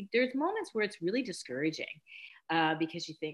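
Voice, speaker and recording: A woman speaks with a Canadian accent. Her pitch swings very widely. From Canada, rural Mennonite community. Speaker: beauty brand founder. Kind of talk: interview. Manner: halting.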